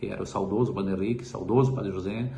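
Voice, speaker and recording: The speech comes at a very fast pace, with audible room echo. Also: man. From Braga, Rio Grande do Sul, Brazil. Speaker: local resident. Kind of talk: oral history interview.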